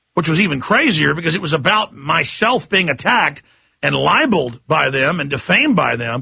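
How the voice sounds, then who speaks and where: An angry man with a high pitch, lively intonation and a fairly quick pace. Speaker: radio talk show host. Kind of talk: talk radio monologue. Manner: impassioned, angry.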